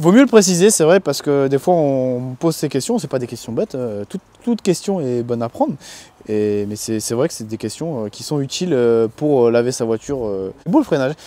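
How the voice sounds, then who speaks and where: With lively intonation, a man speaks at a fairly quick pace in a medium-pitched voice with a dark, mellow tone. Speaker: car detailing youtuber. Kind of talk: casual tutorial. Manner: loud.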